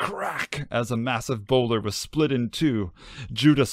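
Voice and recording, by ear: Reading aloud in a natural voice, with ordinary shifts in pitch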